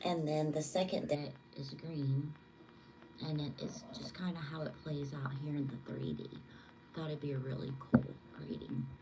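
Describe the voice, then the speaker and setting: A quiet woman's voice, very deep and low in pitch, at a moderate pace with fairly even intonation and long, frequent pauses, amid audible room echo and noticeable background noise. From Southwest Louisiana. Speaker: tarot reader and psychic. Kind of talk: live tarot reading. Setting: livestream at home. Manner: quiet, low voice.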